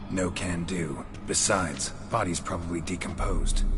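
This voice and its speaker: A man uses a put-on character voice with a very deep, low pitch at a moderate pace over loud background noise. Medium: machinima. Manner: terse, deadpan.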